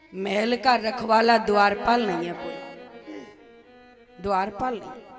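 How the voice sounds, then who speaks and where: Over music in the background, a woman with a fairly high pitch speaks with fairly even intonation. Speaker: religious storyteller. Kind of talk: spiritual discourse.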